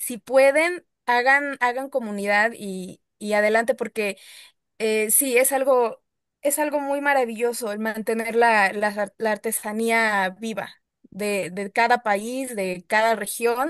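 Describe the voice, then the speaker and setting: A woman in a Mexican accent, fairly high in pitch with ordinary pitch variation, at a very slow pace in a quiet background and a dry, close sound with no echo. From Mexico, Puebla. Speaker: audience participant. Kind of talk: Q&A comment in online talk.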